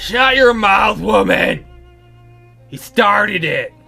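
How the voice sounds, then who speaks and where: Over faint background music, a raspy, put-on character voice at a fairly high pitch speaks at a very slow pace. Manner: belligerent.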